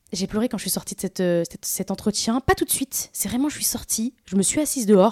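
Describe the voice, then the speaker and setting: Fairly high-pitched, dark, mellow female voice, somewhat breathy, very fast with hardly any pauses and ordinary pitch variation, dry and close with no echo on a very clean recording with a silent background. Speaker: content creator and influencer. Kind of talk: casual interview.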